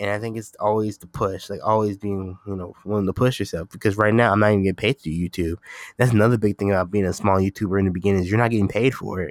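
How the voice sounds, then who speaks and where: The background is silent on this very clean recording. A man talks very fast on it. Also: dry, close sound with no echo. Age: 20s. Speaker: podcast host and YouTuber. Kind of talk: casual solo podcast monologue. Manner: casual, filler-heavy.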